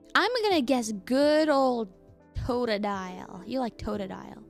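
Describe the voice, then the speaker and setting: Fairly slow female speech over music in the background. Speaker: streamer. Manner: casual, chatty.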